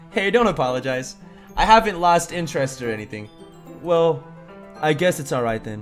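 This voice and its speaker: There's music playing behind a man. He talks at a moderate speed. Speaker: gaming YouTuber. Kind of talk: reading game dialogue aloud.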